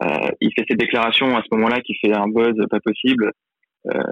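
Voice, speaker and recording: This is a man with an ordinary speaking voice. His pitch is medium and his pace moderate. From Lyon, France. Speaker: football fan pundit. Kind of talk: casual chat.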